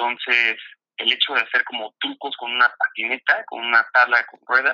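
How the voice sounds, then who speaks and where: A man is speaking. His pace is fairly quick. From Mexico, State of Mexico. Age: 30s. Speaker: freestyle football athlete. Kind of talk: casual interview.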